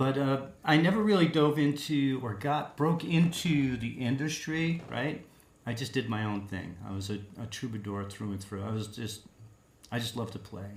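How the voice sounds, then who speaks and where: A man with an American accent speaks at medium pitch and a moderate pace, with lively intonation and a somewhat breathy voice. Audible room echo surrounds him. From Long Island, New York. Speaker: singer-songwriter. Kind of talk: interview.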